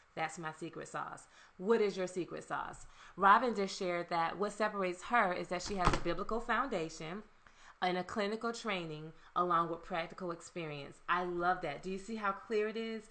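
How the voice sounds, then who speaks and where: Over noticeable background noise, a woman with a Southern US accent talks in an animated tone at medium pitch with ordinary pitch variation. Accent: Southern US (Georgia). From US South, Savannah, Georgia. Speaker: marketing and leadership consultant. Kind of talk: live webinar talk. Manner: fast.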